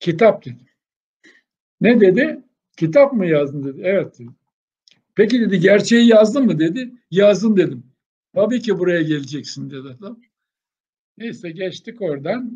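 A man talks with a high pitch, a dark, mellow tone and very wide pitch swings. He leaves long, frequent pauses. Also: moderate pace, big swings in loudness. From Aegean Turkey, Denizli village. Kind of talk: interview, life story.

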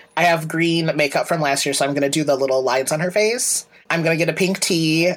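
Through noticeable background noise, a man speaks very fast in a fairly high pitch. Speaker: podcast co-host. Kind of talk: casual chat. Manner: loud.

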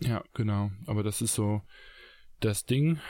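Speaking at a very slow pace, a man uses ordinary pitch variation. The recording is very clean, with a silent background. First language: not German (speaking German). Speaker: podcast co-host, entrepreneur. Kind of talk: casual chat. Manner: hesitant, many fillers.

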